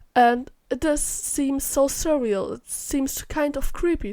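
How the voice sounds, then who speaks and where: In a very clean recording with a silent background, a woman speaks in a high pitch with a dark, mellow tone. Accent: German. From Germany. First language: German. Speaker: YouTuber, vocal synth tuner. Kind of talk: voice-over rant.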